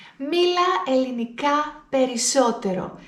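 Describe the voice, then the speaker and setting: Lively intonation comes through at a very slow pace, with audible room echo. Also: woman. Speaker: Greek language teacher. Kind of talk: language lesson to camera. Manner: deliberately slowed, clear speech.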